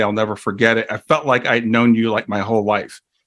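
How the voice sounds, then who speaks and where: The recording is very clean with a silent background. A man talks at a very fast pace and medium pitch. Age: 60s. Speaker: grief educator and life coach. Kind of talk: interview.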